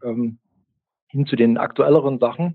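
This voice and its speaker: A man speaks at a fairly slow pace with fairly even intonation. He has a plain, everyday voice. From East Germany, Chemnitz. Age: 50s. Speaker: music podcaster. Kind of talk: casual chat.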